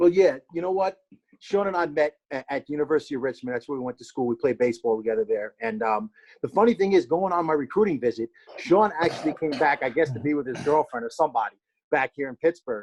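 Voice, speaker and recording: A man with a New Jersey accent talks at a very fast pace in a fairly high pitch, his intonation lively and the sound dry and close with no echo. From New Jersey, Hackensack. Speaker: former pro baseball player. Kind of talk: casual podcast interview.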